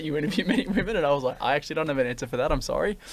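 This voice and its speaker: A man speaks with an Australian accent at a fairly high pitch. His intonation is lively. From Australia, western Sydney. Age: 20s. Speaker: podcast host and buyers' agent. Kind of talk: casual interview chat.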